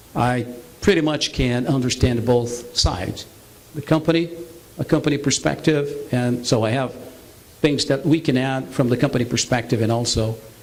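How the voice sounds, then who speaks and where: A man's voice with ordinary pitch variation, set against noticeable background noise. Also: medium pitch for a man, moderate pace. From Brazil. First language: Portuguese. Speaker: business presenter. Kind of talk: sales pitch. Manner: halting, many fillers.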